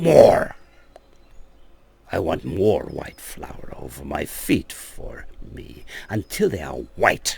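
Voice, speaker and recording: In a put-on character voice, a man speaks at a very slow pace and a fairly low pitch, with long, frequent pauses. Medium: read story. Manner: wheedling and scheming.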